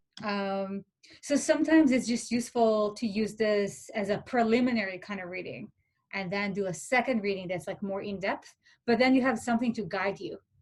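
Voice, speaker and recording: A somewhat breathy woman's voice, fairly high in pitch, at a fairly quick pace with ordinary pitch variation. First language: not English. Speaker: philosophy peer tutor. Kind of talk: workshop talk. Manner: hesitant, many fillers.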